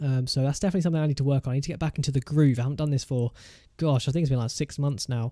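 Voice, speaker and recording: This man speaks with an English accent in a dark, mellow tone. His intonation is fairly even. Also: dry, close sound with no echo. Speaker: gaming YouTuber. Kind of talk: gameplay commentary. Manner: fast.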